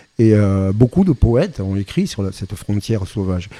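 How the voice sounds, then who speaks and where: This man's voice is fairly low in pitch. Its tone is dark and mellow. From French Basque Country. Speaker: singer-songwriter and drummer. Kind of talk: interview.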